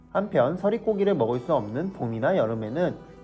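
With music in the background, the voice moves at a moderate pace through very wide pitch swings. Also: man. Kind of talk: educational explainer narration.

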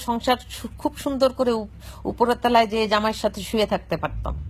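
A woman talks in a somewhat breathy voice. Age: old. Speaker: woman speaking about a murder case. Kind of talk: live video monologue. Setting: at home. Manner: emotional, halting.

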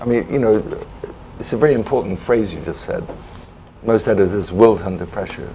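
A man with a Welsh accent and fairly low pitch, fairly quick pace with long, frequent pauses, ordinary pitch variation, and noticeable background noise. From Wales. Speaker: former foreign correspondent. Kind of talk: panel discussion.

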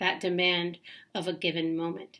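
The speaker has an American accent and talks at a fairly slow pace. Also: woman. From US South. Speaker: poet. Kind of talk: poetry reading. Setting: self-recorded video. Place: home room. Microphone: webcam.

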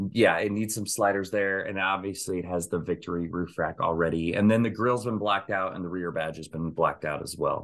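With hardly any pauses, a man in an ordinary speaking voice talks at a fairly low pitch with fairly even intonation. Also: fairly quick pace. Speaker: podcast host. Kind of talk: casual podcast chat. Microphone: video call.

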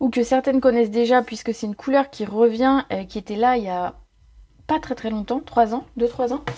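A woman's high-pitched, dark, mellow voice at a fairly slow pace. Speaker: craft product demonstrator. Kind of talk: tutorial.

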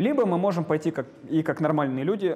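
Lively intonation from a man speaking at a moderate pace. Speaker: lecturer. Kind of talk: lecture. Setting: lecture hall with students. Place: classroom. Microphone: lapel.

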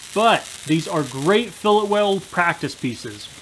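A man speaks at a fairly slow pace with ordinary pitch variation. His tone is fairly bright.

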